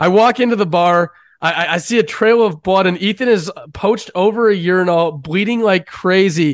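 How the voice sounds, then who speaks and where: Against a quiet background, a man talks at a moderate pace in a high voice. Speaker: sports betting podcast host. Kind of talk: casual chat, sports betting show.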